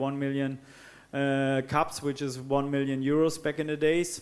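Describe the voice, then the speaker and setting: The speaker has a German accent and a monotone, flat intonation. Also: man. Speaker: co-founder of water charity. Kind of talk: panel discussion. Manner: hesitant, many fillers.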